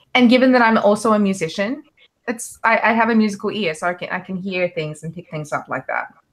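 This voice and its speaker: Speaking at a very fast pace with an Australian accent, a woman has a medium pitch, lively intonation and big swings in loudness. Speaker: actress and musician. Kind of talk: casual interview chat. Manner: halting, many fillers.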